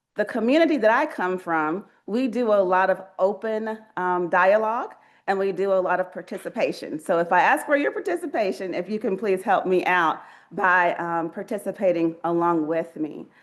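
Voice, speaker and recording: With a Southern US accent, a woman talks at a moderate pace in a medium pitch with lively intonation against a quiet background. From US Southeast. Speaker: research ethics leader. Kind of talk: keynote speech. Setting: stage with audience. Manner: conversational, interactive.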